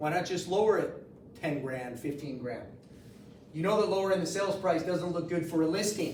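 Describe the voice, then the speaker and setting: With audible room echo and noticeable background noise, a man talks in a high pitch at a moderate pace, his tone animated and his pitch variation ordinary. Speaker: mortgage loan officer teaching a class. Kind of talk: training class. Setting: office meeting room with audience.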